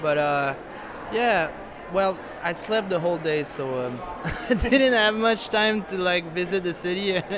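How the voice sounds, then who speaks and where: In a Quebec accent, a man with a high pitch talks at a fairly slow pace with lively intonation, with audible room echo and noticeable background noise. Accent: Québécois French accent in English. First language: French. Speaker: musician. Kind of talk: interview. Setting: music awards gala. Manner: halting, many fillers.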